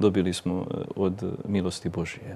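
A man talks in a dark, mellow tone. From northern Bosnia and Slavonia, Croatia; Croatia. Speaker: Dominican friar and parish priest; guest priest. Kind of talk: interview. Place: studio. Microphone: lapel.

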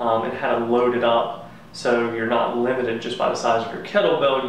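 A man speaks with fairly even intonation. There is audible room echo and light background noise. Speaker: fitness coach. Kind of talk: tutorial. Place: garage. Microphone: camera far.

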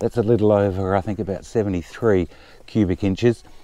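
A man's voice carries a dark, mellow tone in a dry sound with no echo. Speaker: motorbike owner reviewer. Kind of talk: casual review walkaround. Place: open country.

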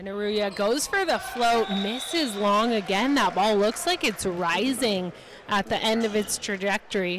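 Noticeable background noise accompanies a woman speaking at a fairly slow pace. Her pitch is fairly high, with ordinary variation. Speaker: color commentator. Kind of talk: live sports commentary. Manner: explanatory, analyzes plays and players.

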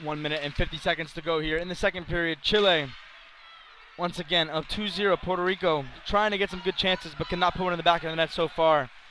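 Over noticeable background noise, a man with a high pitch talks at a very fast pace with fairly even intonation. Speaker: hockey play-by-play commentator. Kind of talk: live sports commentary, play-by-play. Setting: rink stadium broadcast. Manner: rapid-fire, clipped play-by-play delivery.

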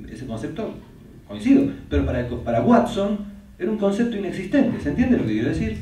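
Amid audible room echo and light background noise, a man talks at a fairly quick pace with very wide pitch swings. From Argentina. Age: 70s. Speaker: psychotherapist and author; interviewee. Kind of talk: interview in front of an audience. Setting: stage with audience. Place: meeting room.

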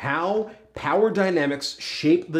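The speaker goes at a very slow pace with lively intonation. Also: man. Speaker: dating advice host. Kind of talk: advice vlog monologue. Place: studio.

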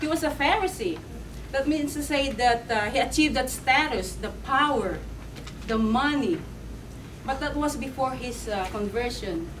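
With noticeable background noise behind her, a woman speaks at a moderate pace in a high pitch. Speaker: preacher. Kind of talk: sermon. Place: church. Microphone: camera far.

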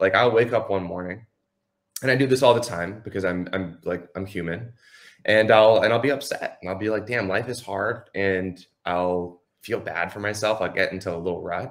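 A man talks at a moderate pace in a fairly low pitch. His intonation stays fairly even against a quiet background. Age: 20s. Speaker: entrepreneur; podcast guest. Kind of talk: casual chat. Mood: earnest, reflective. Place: home room. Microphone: video call.

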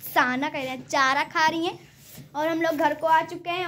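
With light background noise behind her, a woman speaks at a moderate pace. Her voice is extremely high, with fairly even intonation. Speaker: home vlogger. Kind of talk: casual vlog chat. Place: home room. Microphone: phone near.

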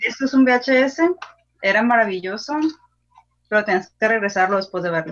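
With a quiet background, a woman speaks at a fairly high pitch and moderate pace, using ordinary pitch variation and long, frequent pauses. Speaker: film podcast co-host. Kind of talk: casual chat. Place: home room. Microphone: video call.

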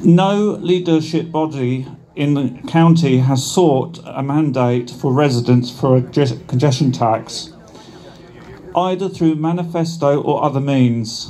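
Over light background noise, a man speaks at a very slow pace, his fairly high pitch showing ordinary variation. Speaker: campaigner. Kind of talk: rally speech read from a prepared script. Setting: outdoor rally with crowd. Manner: formal, earnest, slightly halting while reading. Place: street. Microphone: camera far.

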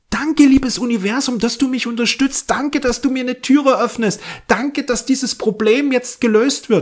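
This is a man's voice. His pitch is extremely high. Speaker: astrology and spirituality video host. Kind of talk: guided meditation with affirmations, spoken directly to the listener; spiritual astrology forecast, direct address to viewer. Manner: calm, soothing, slow and gentle, repeating thankful affirmations.

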